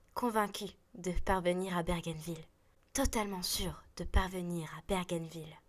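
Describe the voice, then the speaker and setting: Woman in a plain, everyday voice, fairly slow, with fairly even intonation. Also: fairly low pitch for a woman. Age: young. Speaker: student actress. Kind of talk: children's story narration.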